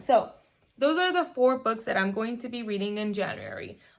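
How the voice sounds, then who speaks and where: A woman speaks with a Spanish accent. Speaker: mom vlogger. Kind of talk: casual vlog. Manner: casual, with fillers.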